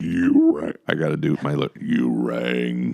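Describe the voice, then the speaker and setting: At a fairly slow pace, a man uses a put-on character voice with a very deep, low pitch. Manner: slow, droning.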